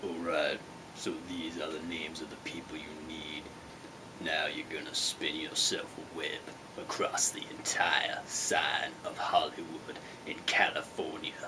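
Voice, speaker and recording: Whispering in a put-on character voice, a man goes at a fairly slow pace through loud background noise. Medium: comedy sketch. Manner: grandiose, bossy.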